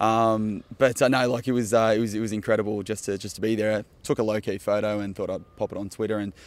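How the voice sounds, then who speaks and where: Speaking at a very fast pace with hardly any pauses, a man with an Australian accent delivers his words in a monotone, flat intonation at a fairly low pitch, on a very clean recording with a silent background. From Australia, Melbourne. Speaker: football fan. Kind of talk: casual interview.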